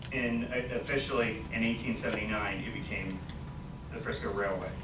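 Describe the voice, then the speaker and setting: A man talks at a moderate pace amid loud background noise. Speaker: college student. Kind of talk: class presentation speech. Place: classroom. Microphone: camera far.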